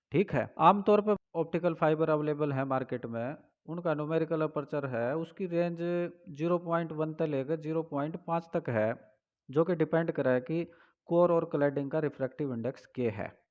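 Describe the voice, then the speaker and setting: In a quiet background, a man with a fairly high voice speaks with ordinary pitch variation. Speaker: teacher. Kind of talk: physics lecture.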